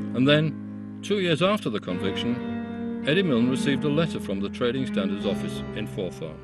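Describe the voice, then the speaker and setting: A man at a moderate pace with hardly any pauses, music in the background. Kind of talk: documentary narration.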